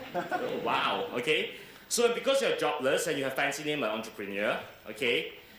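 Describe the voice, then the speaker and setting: Audible room echo and noticeable background noise around a man whose pitch swings very widely. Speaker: entrepreneur and keynote speaker. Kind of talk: keynote speech.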